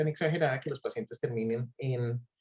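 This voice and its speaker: At a moderate pace, a man speaks at a medium pitch, somewhat breathy. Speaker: physician and clinical researcher. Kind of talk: online talk. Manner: hesitant, many fillers.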